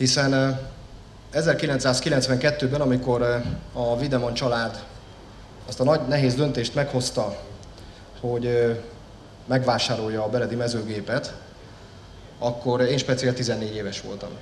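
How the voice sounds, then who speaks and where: A man's very slow, monotone, flat delivery with long, frequent pauses, audible room echo and light background noise. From Hungary. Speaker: member of parliament. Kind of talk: formal speech. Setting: company jubilee event with audience. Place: hall. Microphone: podium.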